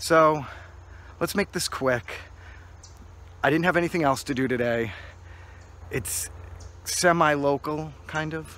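A man speaks at a moderate pace with ordinary pitch variation. His tone is bright and sharp, and the sound is dry with no echo. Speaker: urban explorer vlogger. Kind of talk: casual vlog chat. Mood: wry, low-key. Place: open country. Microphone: phone near.

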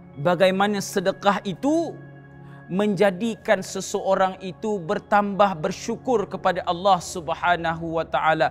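A man with a high-pitched voice speaks at a fairly slow pace over faint background music. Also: ordinary pitch variation. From Malaysia. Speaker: religious teacher and Quran reciter. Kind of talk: religious sermon. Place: empty room.

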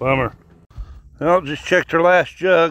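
This man speaks slowly, his fairly high voice carrying a fairly bright tone.

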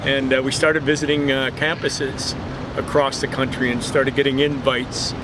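Noticeable background noise runs behind the recording. A man speaks at a moderate pace. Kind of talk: interview answer. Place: street.

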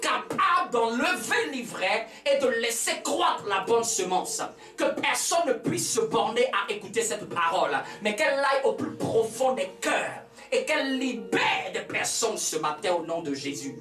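Over faint music in the background, a man speaks in a raised, projected voice with audible room echo. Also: fairly slow pace. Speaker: pastor. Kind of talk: sermon. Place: church. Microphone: camera far.

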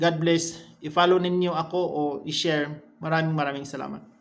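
There is audible room echo as a man speaks at a high pitch and a moderate pace. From Visayas, Philippines. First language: Cebuano (Bisaya) (speaking Tagalog). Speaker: vlogger. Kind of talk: casual vlog talk to camera.

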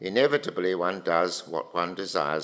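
A man with vocal fry at a moderate pace, over a quiet background. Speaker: philosophy lecturer. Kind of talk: lecture. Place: hall. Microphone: podium.

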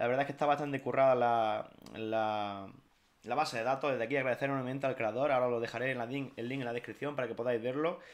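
This man's speech runs very fast. His intonation remains fairly even. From Spain, Jaén (Andalusia). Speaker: gaming YouTuber. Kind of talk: video game tutorial. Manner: casual, with many fillers. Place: home room.

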